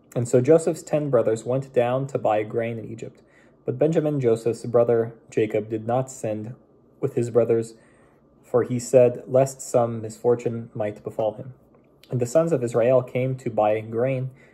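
A man speaks at a moderate pace, somewhat breathy, with fairly even intonation. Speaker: bible reader. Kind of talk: scripture reading aloud. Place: home room. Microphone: phone near.

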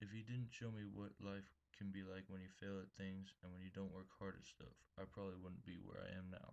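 A man with a very deep, low voice and an American accent talks at a fairly quick pace in a monotone, flat intonation. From Texas. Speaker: college student. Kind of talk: reading aloud. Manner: formal.

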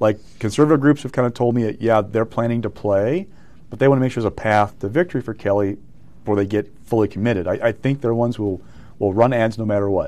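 Here a man talks at a very fast pace in a dark, mellow tone. His pitch variation is ordinary. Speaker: news guest. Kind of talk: interview answer. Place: studio. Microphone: lapel.

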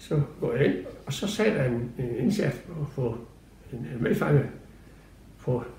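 A man's lively intonation in a room with audible echo. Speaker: retired prison guard telling his story. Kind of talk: interview answer, recalling memories. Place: home room.

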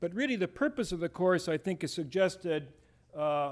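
A man with an American accent talks at a high pitch with lively intonation and a moderate pace. The recording is very clean, with a silent background. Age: 60s. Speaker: history professor and former military officer. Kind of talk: lecture. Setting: stage with audience.

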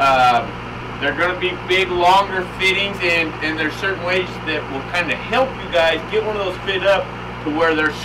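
A man delivers his words at a moderate pace, his pitch varying in an ordinary way, with noticeable noise behind him. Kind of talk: tutorial. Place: workshop.

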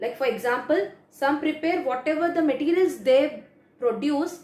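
Audible room echo surrounds a woman with a high pitch. She speaks at a moderate pace. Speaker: teacher. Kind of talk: lecture. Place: home room. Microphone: phone near.

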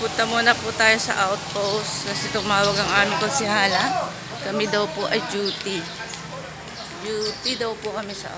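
Crowd noise fills the background as the speech moves at a moderate pace. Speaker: local resident vlogger. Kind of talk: casual vlog chat. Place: street. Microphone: phone near.

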